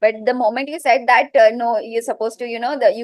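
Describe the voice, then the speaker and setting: Fairly high-pitched woman with a Gujarati accent and fairly even intonation. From India, Mumbai. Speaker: teacher-training student. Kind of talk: interview.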